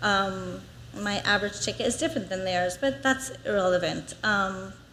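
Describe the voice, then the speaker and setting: Audible room echo surrounds a woman's voice. She has a medium pitch and lively intonation. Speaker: small business owner giving public comment. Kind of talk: public comment at council meeting. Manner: fast.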